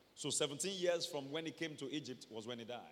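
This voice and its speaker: Audible room echo surrounds a man who speaks in an animated tone at a fairly high pitch with ordinary pitch variation. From Nigeria. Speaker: pastor. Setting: church service, also streamed online. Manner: animated, emphatic preaching that prompts amens from the congregation; explanatory, steady storytelling pace when walking through the scripture.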